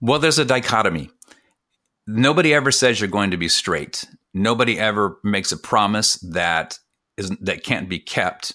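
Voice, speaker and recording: With an American accent and a bright, sharp tone, a man speaks at a moderate pace using lively intonation. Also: fairly low pitch for a man. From California. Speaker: author and former minister. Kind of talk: interview. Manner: halting.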